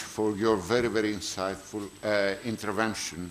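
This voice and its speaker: Over light background noise, a man with a Greek accent speaks at a moderate pace in a fairly low voice. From Greece. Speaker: conference chair. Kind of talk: speaker introduction; formal introduction and moderation. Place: hall. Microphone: podium.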